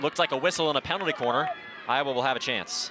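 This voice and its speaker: Over noticeable background noise, a man talks at a very fast pace with an energetic tone, a fairly high pitch and ordinary pitch variation. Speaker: sports broadcaster, play-by-play announcer. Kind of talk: TV field hockey play-by-play. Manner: energetic, fast.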